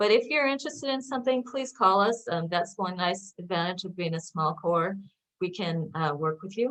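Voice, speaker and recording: Talking at a fairly quick pace, a woman uses lively intonation and a fairly low pitch. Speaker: research scientist presenting a seminar. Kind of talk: lecture. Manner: fast.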